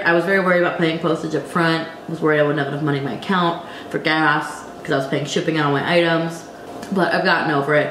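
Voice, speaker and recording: Audible room echo and noticeable background noise surround a woman speaking at a very fast pace in a fairly low pitch. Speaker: online reseller and YouTuber. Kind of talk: casual vlog tutorial.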